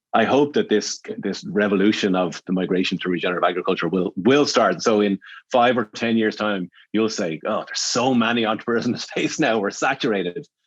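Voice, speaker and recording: Speaking at a fairly quick pace in an Irish accent, a man with a fairly low pitch and ordinary pitch variation is heard against a quiet background. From Ireland. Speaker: agriculture entrepreneur and investor. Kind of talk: podcast interview.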